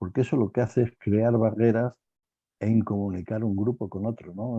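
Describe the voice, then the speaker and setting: The sound is dry and close with no echo as a man speaks slowly-ish, at a fairly slow pace, in a dark, mellow tone at medium pitch. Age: 70s. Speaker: panel guest in online talk. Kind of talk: panel discussion. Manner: animated, repetitive phrasing.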